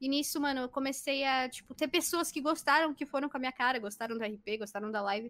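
A woman talks at a high pitch with lively intonation. The recording is very clean, with a silent background. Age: 20s. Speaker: streamer. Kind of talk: casual chat.

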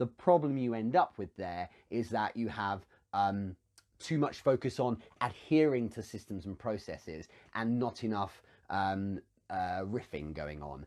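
Using lively intonation, a man with a British accent and fairly low pitch speaks at a fairly slow pace. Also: very clean recording, silent background. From UK. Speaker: business coach and show host. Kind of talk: live Q&A stream. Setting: livestream on social media.

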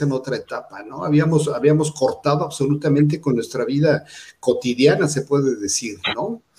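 At a moderate pace, a man uses a plain, everyday voice that sits fairly high, with ordinary pitch variation. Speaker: fashion magazine editor and interviewer. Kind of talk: interview.

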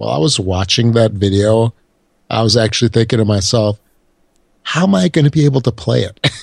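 Against a quiet background, a man with an American accent talks at a fairly quick pace in a somewhat breathy voice, with ordinary pitch variation and long, frequent pauses. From Chicago, US Midwest. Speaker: podcast co-host. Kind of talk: casual chat.

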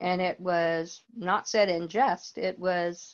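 A woman speaks with an American accent and a fairly low pitch. The background is quiet. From US South, North Carolina. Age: 70s. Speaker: church member. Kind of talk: personal testimony interview. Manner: halting.

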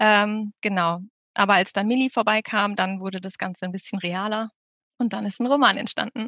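Moderately paced, this is a normal speaking voice. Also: woman, medium pitch for a woman, fairly even intonation. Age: 30s. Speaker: debut novelist. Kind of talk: interview.

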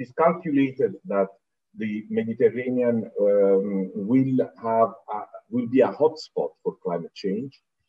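A man talks with an Italian accent and ordinary pitch variation. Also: medium pitch for a man, fairly slow pace, big swings in loudness. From southern Italy, Naples. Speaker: UN environment official. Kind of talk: interview.

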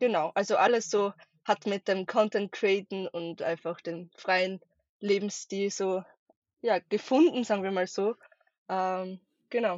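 Fairly slow and broken by long, frequent pauses, the speech comes in an Austrian accent with fairly even intonation. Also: woman, medium pitch for a woman. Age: 20s. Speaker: travel content creator. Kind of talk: podcast interview. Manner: hesitant, many fillers.

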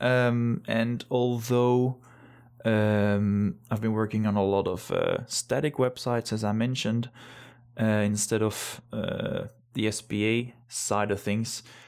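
At a very slow pace, a man speaks in a medium pitch with fairly even intonation. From Belgium. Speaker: web developer. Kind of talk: casual chat.

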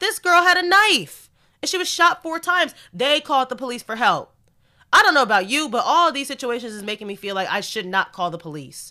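In a very clean recording with a silent background, a woman uses a raised, projected voice at a fairly quick pace. Her tone is animated, with very wide pitch swings and big swings in loudness. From United States. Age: 20s. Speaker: podcast host. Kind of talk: solo podcast monologue.

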